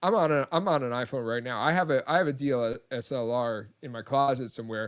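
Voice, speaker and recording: A man talking at a very fast pace, medium pitch, ordinary pitch variation. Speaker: trivia show host. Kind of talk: live-streamed casual chat.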